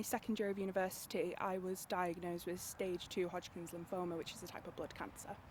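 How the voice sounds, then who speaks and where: In a North Welsh accent, a woman talks at a fairly quick pace and a medium pitch, with hardly any pauses. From North Wales. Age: 20s. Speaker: cancer patient, university student. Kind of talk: interview testimony. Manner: hesitant, halting.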